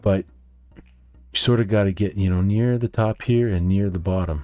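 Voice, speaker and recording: On a very clean recording with a silent background, a man with a Canadian accent speaks at a very deep, low pitch in a dark, mellow tone with fairly even intonation. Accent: Canadian, noticeable in speech. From Canada. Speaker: day trader, market video host. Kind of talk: market recap tutorial. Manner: casual, with frequent fillers.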